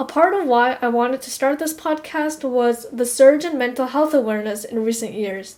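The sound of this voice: A woman speaks with a high pitch, ordinary pitch variation and a slightly mellow tone at a moderate pace.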